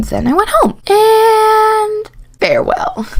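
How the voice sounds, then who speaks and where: Against noticeable background noise, a woman speaks in an animated tone with very wide pitch swings. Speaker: animated storytime youtuber. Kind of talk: storytime narration; casual end card chat. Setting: at home at night.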